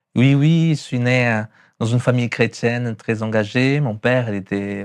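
With a Brazilian accent, a man speaks at a fairly slow pace and medium pitch, showing ordinary pitch variation against a quiet background. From Brazil, São Paulo. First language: Portuguese (speaking French). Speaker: pastor. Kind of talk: testimony. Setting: hair salon. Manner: sing-song.

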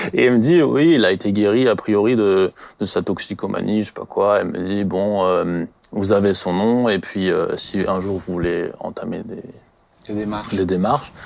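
A man with an unremarkable speaking voice talks at a moderate pace, fairly low in pitch, with ordinary pitch variation. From France, Alsace (Colmar area). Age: 20s. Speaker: church member sharing life story. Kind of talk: personal testimony.

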